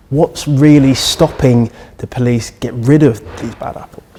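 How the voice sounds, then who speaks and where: A man at a medium pitch and moderate pace, with ordinary pitch variation, big swings in loudness and noticeable background noise. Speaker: news reporter. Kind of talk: TV news report narration.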